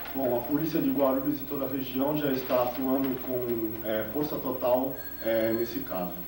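Noticeable background noise is present throughout. A man talks at a moderate pace, his intonation fairly even. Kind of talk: press statement. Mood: serious, formal, slightly hesitant. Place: office.

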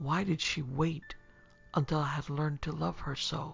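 A man performs a put-on character voice with a husky, rough edge and vocal fry, yet a fairly bright tone. He goes at a fairly slow pace with fairly even intonation while faint music plays in the background. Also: fairly high pitch for a man.

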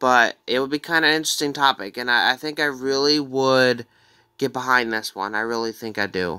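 Over a quiet background, a man with a bright, sharp tone speaks at a moderate pace with ordinary pitch variation. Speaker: gaming fan vlogger. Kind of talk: casual reaction commentary. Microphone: phone near.

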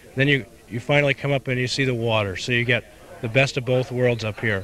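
In a bright, sharp tone, a man of medium pitch talks very fast with fairly even intonation, the sound dry with no echo and light background noise. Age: 30s. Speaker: descendant of a historic naval figure. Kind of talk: interview. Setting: outdoors at a commemoration ceremony. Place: street. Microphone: handheld.

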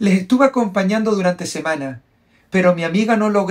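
Ordinary pitch variation marks a natural reading voice in this clip.

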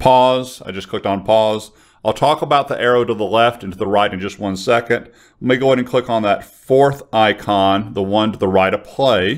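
A man at a moderate pace, fairly low in pitch, with few pauses. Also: ordinary pitch variation.

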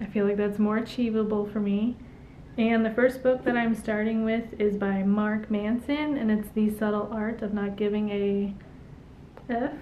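Over light background noise, a woman with a fairly high pitch talks at a moderate pace in a monotone, flat intonation. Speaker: YouTube vlogger. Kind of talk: casual vlog monologue. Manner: casual, conversational. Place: home room. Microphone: camera far.

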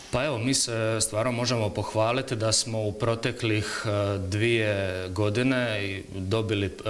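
Speaking at a very slow pace, a man uses a fairly low pitch and fairly even intonation. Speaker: government official. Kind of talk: TV interview. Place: studio. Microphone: lapel.

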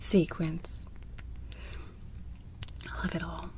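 A soft-spoken woman talks. Light background noise is present. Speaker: ASMR creator. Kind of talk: ASMR video.

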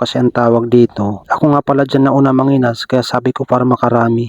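A man speaks very fast at a medium pitch in a flat monotone. The sound is dry and close, with no echo. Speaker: vlogger. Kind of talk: vlog voice-over narration. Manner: casual, conversational.

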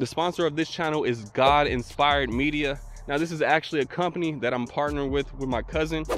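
A man speaks with fairly even intonation. Faint music plays in the background, and the sound is dry with no echo. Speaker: e-bike vlogger. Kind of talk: casual vlog chat. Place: open country. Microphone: handheld.

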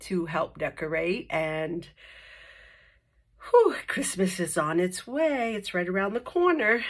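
A woman with lively intonation in a quiet background. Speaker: paper craft tutorial host. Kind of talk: tutorial. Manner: casual, with fillers. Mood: cheerful, friendly.

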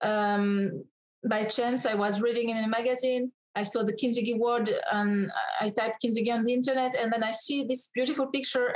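Against a quiet background, a woman with a French accent speaks at a moderate pace and fairly high pitch, with ordinary pitch variation. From France. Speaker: author and personal development coach; personal development coach. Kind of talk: interview. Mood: warm, earnest. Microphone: webcam.

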